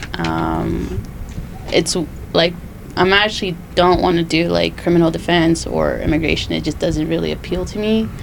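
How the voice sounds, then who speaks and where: There is audible room echo and noticeable background noise as a woman with an American accent talks at a moderate pace. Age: 20s. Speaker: podcast co-host and law school applicant. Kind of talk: casual chat.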